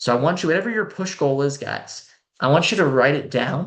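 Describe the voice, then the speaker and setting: Vocal fry runs through this voice, which moves at a moderate pace over a quiet background. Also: man. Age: 20s. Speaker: sales trainer and mentor. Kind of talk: online sales masterclass.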